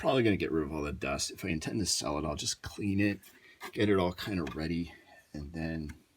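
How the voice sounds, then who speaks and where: A man's very deep, low pitch with ordinary pitch variation. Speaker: tech YouTuber. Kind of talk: casual tutorial-style hardware walkthrough. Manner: halting, many fillers.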